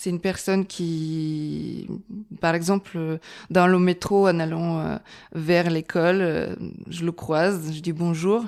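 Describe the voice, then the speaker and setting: A woman with a Bulgarian accent, fairly low in pitch, monotone and flat, at a very slow pace with long, frequent pauses, on a very clean recording with a silent background. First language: Bulgarian (speaking French). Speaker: architect. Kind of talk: podcast interview. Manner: hesitant, many fillers.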